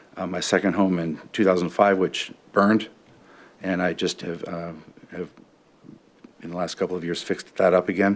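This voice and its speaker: A man talks at a fairly quick pace. His very deep, low voice stays monotone and flat. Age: 50s. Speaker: city council candidate. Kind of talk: interview. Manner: halting, many fillers.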